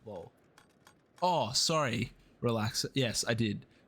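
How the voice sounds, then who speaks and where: A man speaks with an Australian accent. His pitch sits in the middle range. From Australia, east coast. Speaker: video game streamer. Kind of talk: live gameplay commentary and chat reading. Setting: live stream. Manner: fast.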